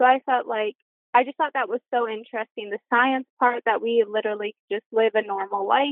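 A woman with a plain, everyday voice talks at a fairly quick pace, her fairly high pitch held to fairly even intonation. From British Columbia, Canada. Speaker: living kidney donor. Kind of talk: casual interview. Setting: phone or video call.

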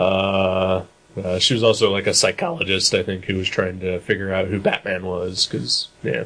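A man speaks with a Midwestern US accent. His pitch is very deep and low. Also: fairly even intonation, moderate pace. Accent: US Midwest. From Dayton, Ohio. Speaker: podcast host. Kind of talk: casual chat.

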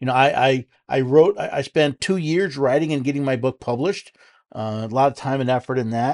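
A man with an American accent talks at a medium pitch and a fairly quick pace with ordinary pitch variation, the sound dry and close with no echo over a quiet background. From New York City. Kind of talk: solo podcast commentary with listener questions. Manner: halting with frequent repetitions and fillers.

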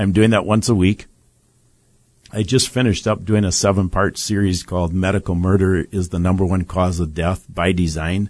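A man speaks in a very deep, low pitch at a moderate pace. His intonation is fairly even against a quiet background. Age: 60s. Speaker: bereaved father and medical-justice advocate. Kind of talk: studio interview. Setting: studio.

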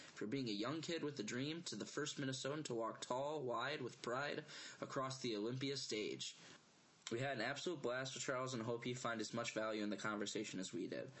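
The man has an unremarkable speaking voice at a medium pitch. He talks at a fairly quick pace with ordinary pitch variation. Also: very even loudness. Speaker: podcast host. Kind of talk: scripted intro.

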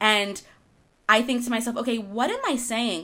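Here a woman talks at a fairly quick pace. She has an American accent and a bright, sharp tone. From Argentina-born, raised in the US from infancy. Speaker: podcast co-host, wellness author. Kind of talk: casual chat. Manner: giggly, laughs often.

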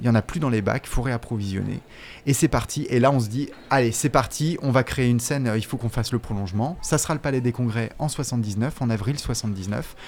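A man with a plain, everyday voice talks at a moderate pace and medium pitch with ordinary pitch variation, on a very clean recording with a silent background. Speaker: researcher and teacher. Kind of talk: interview.

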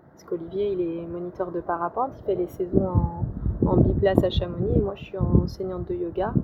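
Delivery is fairly quick, with fairly even intonation and big swings in loudness. Background noise is noticeable throughout. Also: woman, medium pitch for a woman. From France, Lyon. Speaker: sailor and boat cook. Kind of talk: interview. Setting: outdoors.

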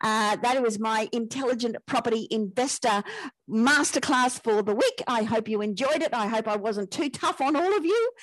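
Very even in loudness, a woman talks at a moderate pace with ordinary pitch variation. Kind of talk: sales pitch. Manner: persuasive, pushy, emphatic repetition of hooks and urgency.

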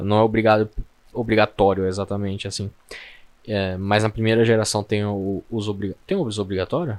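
A man talks at a moderate pace with a fairly low pitch and a monotone, flat intonation. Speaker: podcast co-host. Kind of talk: casual chat.

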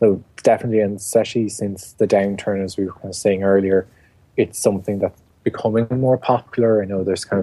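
A man's fairly low voice with an Irish accent, dark and mellow in tone, monotone and flat in intonation, at a fairly quick pace. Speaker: garden blogger and writer. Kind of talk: interview.

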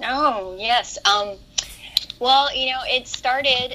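A woman speaks with lively intonation. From Hawaii. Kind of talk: casual interview chat.

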